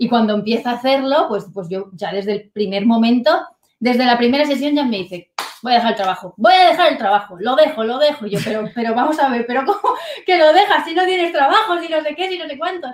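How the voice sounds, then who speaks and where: This woman talks very fast in a high voice. Her pitch swings very widely. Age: 30s. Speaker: online business entrepreneur, former dental clinic salesperson. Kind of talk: interview.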